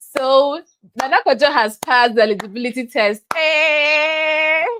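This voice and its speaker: A woman speaks in a raised, projected voice with a bright, sharp tone. Her pitch is high, with ordinary variation. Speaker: online tutor and YouTuber. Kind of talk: live tutorial. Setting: livestream on YouTube and TikTok. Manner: fast.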